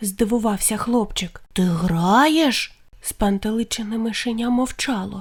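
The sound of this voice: Ordinary pitch variation runs through the delivery. It is an unforced reading voice.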